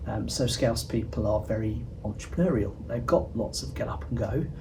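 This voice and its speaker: A man at a moderate pace, with audible room echo. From southern England. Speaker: interviewee commentator. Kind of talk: interview.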